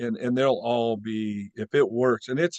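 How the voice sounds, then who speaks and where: The speaker is a man of medium pitch. His pace is fairly slow. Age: 60s. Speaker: tree business worker, product user. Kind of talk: casual chat on group video call. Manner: halting, many restarts.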